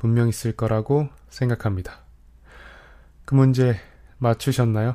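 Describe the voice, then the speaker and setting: This man has a dark, mellow tone and keeps a moderate pace. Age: 20s. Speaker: podcast host, university student. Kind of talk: scripted monologue radio-style.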